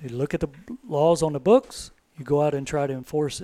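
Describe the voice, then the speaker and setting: A man at a moderate pace, in dry, close sound with no echo. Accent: Texas. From Texas, Devine. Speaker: retired game warden. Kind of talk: podcast interview.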